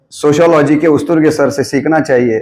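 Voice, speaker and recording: A man speaks with ordinary pitch variation. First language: Marathi (speaking Hindi). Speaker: professor. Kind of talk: guest lecture. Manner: hesitant, with filler sounds.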